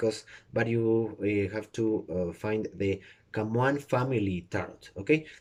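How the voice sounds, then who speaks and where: The speaker has a Spanish accent and a fairly slow pace. The background is quiet. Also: man, fairly low pitch for a man, ordinary pitch variation. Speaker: tarot reader. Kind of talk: tutorial. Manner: halting, many fillers.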